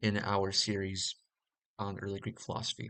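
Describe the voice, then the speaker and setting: The man's intonation is monotone and flat, his pace fairly quick. The background is quiet, and the sound is dry and close with no echo. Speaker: audiobook reader and commentator. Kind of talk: reading aloud with commentary; casual explanation. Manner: halting, stumbles on words; hesitant with many fillers.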